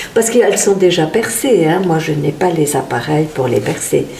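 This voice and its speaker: A woman at a moderate pace with ordinary pitch variation, amid audible room echo and noticeable background noise. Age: 70s. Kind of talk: interview.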